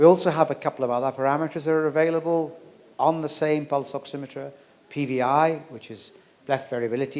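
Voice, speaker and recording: A man with a fairly high pitch talks at a fairly quick pace with fairly even intonation. His loudness shows big swings. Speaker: medical doctor giving a talk. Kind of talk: lecture. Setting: hotel event hall with audience. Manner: fast.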